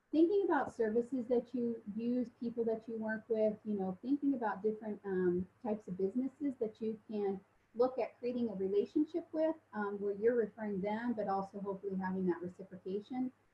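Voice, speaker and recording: This woman talks at a fairly high pitch, somewhat breathy. Her pitch variation is ordinary. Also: fairly quick pace. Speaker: mortgage lender. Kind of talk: webinar presentation. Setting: online webinar. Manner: fast; hesitant with many fillers.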